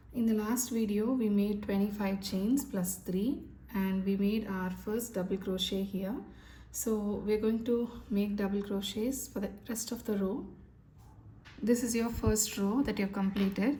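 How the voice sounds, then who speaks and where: Somewhat breathy and dark, mellow in tone, a woman speaks at a medium pitch with fairly even intonation amid audible room echo. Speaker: crochet instructor. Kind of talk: tutorial. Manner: slow.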